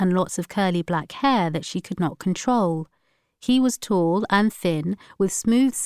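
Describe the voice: A quiet background behind plain reading aloud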